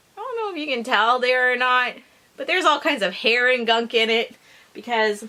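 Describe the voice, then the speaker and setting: A high-pitched woman with a Canadian accent, talking at a fairly quick pace over noticeable background noise. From Canada. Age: 40s. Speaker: beauty YouTuber. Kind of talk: casual talk to camera. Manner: ranting.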